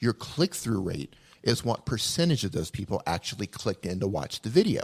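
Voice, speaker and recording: On a very clean recording with a silent background, a man at medium pitch sounds somewhat breathy and makes very wide pitch swings. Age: 40s. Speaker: YouTube video educator. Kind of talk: casual chat. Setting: live stream.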